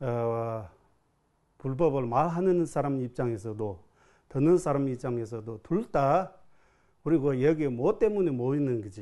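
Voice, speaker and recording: This man talks at a fairly slow pace in a Tibetan accent, leaving long, frequent pauses. His medium-pitched voice has a dark, mellow tone and lively intonation over a quiet background. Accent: Tibetan-accented Korean. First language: Tibetan (speaking Korean). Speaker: Buddhist monk teacher. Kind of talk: dharma talk. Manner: halting.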